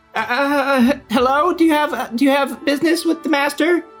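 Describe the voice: A put-on character voice, high in pitch, moves at a fairly slow pace with faint music in the background.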